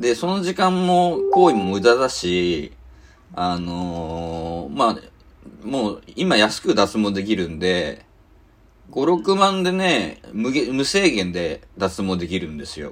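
A man speaks at a very slow pace, with big swings in loudness. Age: 40s. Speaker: podcast host, web magazine editor-in-chief. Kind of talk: casual chat.

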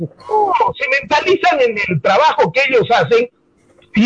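A man's voice sweeps through very wide pitch swings in a dry, close sound with no echo. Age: 60s. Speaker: sports radio commentator. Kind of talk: casual chat.

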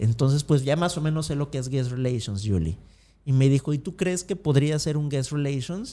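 This man's voice sits fairly high, with a dark, mellow tone and a moderate pace. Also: ordinary pitch variation. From Mexico, Acapulco. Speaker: motivational speaker, former theme park employee. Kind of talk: interview conversation.

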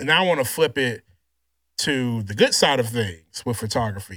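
The voice has a bright, sharp tone on a very clean recording with a silent background. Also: man. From Louisiana. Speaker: podcast host and photographer. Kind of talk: casual chat. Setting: studio.

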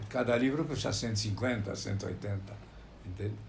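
The man speaks at a very slow pace with fairly even intonation. Noticeable background noise and audible room echo fill the recording. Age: 80s+. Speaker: medical publisher. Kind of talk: interview. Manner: halting.

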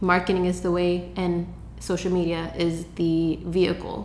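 A woman speaks in a fairly low, monotone, flat voice with an American accent. There is audible room echo and noticeable background noise. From Seattle, Washington (south side). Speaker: social media marketing agency owner. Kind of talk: interview. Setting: in person in Seattle.

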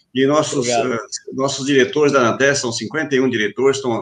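This is a man speaking at a moderate pace. His pitch is fairly high. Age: 40s. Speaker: safety association president. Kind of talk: online panel discussion. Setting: video call live stream. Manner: halting, repeating words.

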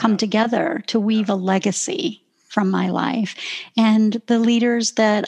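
This woman, with a Canadian accent, has a fairly high, somewhat breathy voice and a moderate pace, recorded with a dry, close sound and no echo. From southern Ontario, Canada. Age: 50s. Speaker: professional speaker and author. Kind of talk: casual interview conversation.

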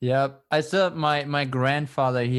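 On a very clean recording with a silent background, a man speaks at a moderate pace in a German accent. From Germany. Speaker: podcast host, student. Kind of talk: casual interview conversation.

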